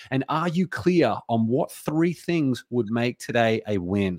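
With an Australian accent, the voice makes very wide pitch swings on a very clean recording with a silent background. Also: man, dry, close sound with no echo. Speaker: entrepreneur and author. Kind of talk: interview. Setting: studio.

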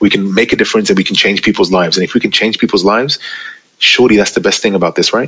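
This man speaks very fast with a London accent. His pitch is fairly low and his intonation fairly even. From UK, Pakistani family. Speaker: DJ and radio presenter. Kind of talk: casual interview chat. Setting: remote recording call. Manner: calm, less hyped than on radio.

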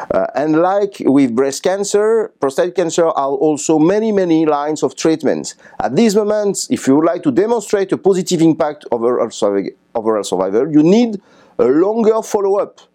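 A man with a French accent speaks at a moderate pace in a high pitch, with lively intonation and very even loudness. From France. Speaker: radiation oncologist. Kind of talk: conference interview summary. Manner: halting, many fillers.

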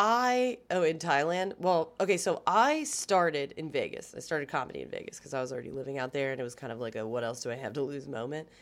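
A woman's very deep, low voice in an American accent, very fast with hardly any pauses and very wide pitch swings, in a very clean recording with a silent background. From Maryland, US (Gaithersburg and Baltimore). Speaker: stand-up comedian. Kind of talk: casual chat. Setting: hotel room.

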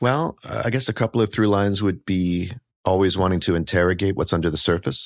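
A plain, everyday voice from a man with a fairly low pitch, ordinary pitch variation, very even loudness and a fairly quick pace, in a very clean recording with a silent background. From Canada. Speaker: author and educator. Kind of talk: interview.

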